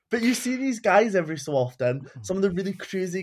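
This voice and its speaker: A man with a Scottish accent speaks at a high pitch with lively intonation. The recording is very clean, with a silent background. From Scotland. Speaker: podcast guest, furry and leather community member. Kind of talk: casual chat.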